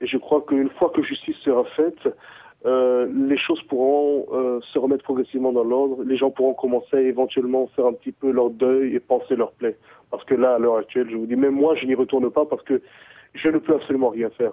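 Medium in pitch, a man's voice moves at a fairly quick pace with monotone, flat intonation. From Central African Republic, Bria (east). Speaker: DJ, producer and musician. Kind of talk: interview. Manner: halting.

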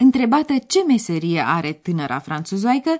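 A woman speaks fairly slowly at a fairly high pitch. Her pitch swings very widely. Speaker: radio language course presenter. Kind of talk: language lesson. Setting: studio.

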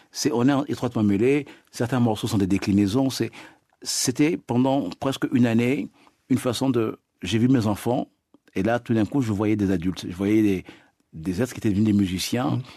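A man's medium-pitched, dark, mellow voice at a moderate pace, with ordinary pitch variation, long, frequent pauses, and a dry, close sound with no echo. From Congo. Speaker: afrofunk singer. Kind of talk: radio interview. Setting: studio.

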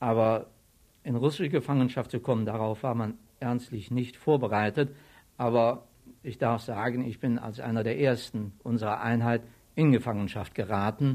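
A man talks in a normal speaking voice at a medium pitch. His pace is moderate and his intonation fairly even. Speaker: war veteran, retired civil servant. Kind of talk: interview testimony.

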